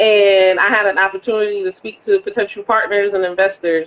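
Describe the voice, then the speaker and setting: This woman talks at a moderate pace in a medium pitch. She has a northern US accent. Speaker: women's basketball team owner. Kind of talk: interview conversation. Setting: Instagram live video call.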